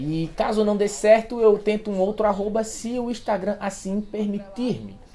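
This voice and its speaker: Against music in the background, the speaker talks at a moderate pace in an animated tone with hardly any pauses. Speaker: podcast host. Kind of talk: casual chat; podcast outro. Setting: remote internet call.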